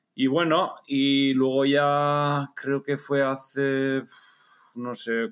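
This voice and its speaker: A man with a Basque accent. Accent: noticeable Basque Spanish. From Basque Country, Spain (Bergara, Gipuzkoa). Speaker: amateur triathlete. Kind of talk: casual chat.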